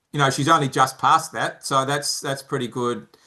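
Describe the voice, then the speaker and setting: A man with an Australian accent speaks in a bright, sharp tone and fairly even intonation against a quiet background. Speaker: founder of a mentoring charity. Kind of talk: interview. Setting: podcast interview. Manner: halting, many repeated words.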